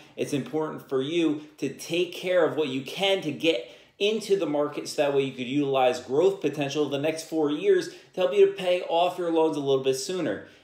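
Recorded with audible room echo, a man speaks at a fairly quick pace with ordinary pitch variation. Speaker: podcast host. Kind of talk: podcast monologue on personal finance. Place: home room.

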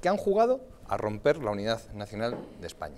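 Very wide pitch swings and vocal fry from a man at a moderate pace. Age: 30s. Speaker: politician. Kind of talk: TV panel debate. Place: studio.

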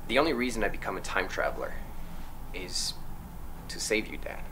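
Noticeable background noise runs through the clip. The man talks at a moderate pace. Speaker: actor playing time traveler. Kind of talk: scripted film dialogue. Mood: earnest, pleading, slightly comic. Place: kitchen.

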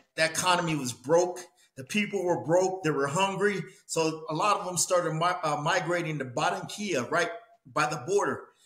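A man speaks at a high pitch and a moderate pace. The background is quiet, though room echo is audible. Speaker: boxing coach guest. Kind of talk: interview answer. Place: home room.

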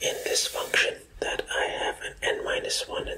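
Soft-spoken whispering comes through over loud background noise. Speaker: math teacher. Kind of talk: tutorial. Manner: soft male ASMR whisper.

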